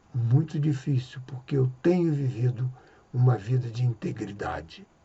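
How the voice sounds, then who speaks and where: Somewhat breathy, a man talks at a medium pitch with ordinary pitch variation. His pace is fairly slow. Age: 60s. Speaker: evangelical preacher. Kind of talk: religious reflection monologue.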